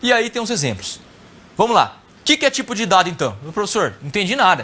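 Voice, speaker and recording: At a very fast pace, a man speaks in a raised, projected voice. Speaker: programming teacher. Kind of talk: lecture.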